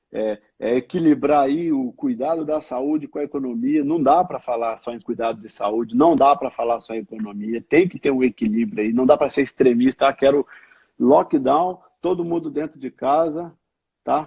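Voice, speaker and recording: In an interior São Paulo accent, a man with a fairly high pitch and a dark, mellow tone talks at a moderate pace with ordinary pitch variation. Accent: caipira accent of interior São Paulo. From Cruzeiro, São Paulo state interior, Brazil. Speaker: hospital IT executive. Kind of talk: live-stream interview.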